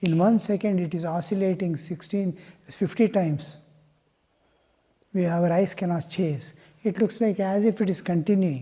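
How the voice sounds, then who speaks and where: A high-pitched man with a dark, mellow tone leaves long, frequent pauses. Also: ordinary pitch variation. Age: 70s. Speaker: monk giving spiritual discourse. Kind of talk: religious discourse. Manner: unhurried, with frequent fillers (uh, hmm).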